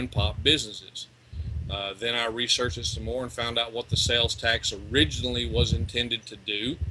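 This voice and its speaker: The man's pace is fairly quick. His pitch is medium, with ordinary variation. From East Texas, US. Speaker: legal rights researcher, ex-deputy sheriff. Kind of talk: interview.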